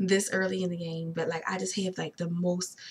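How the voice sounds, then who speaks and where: A woman's somewhat breathy, medium-pitched voice with an animated tone at a fairly quick pace. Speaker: vlogger sharing fertility journey. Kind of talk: casual video diary. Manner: animated, stumbling over words.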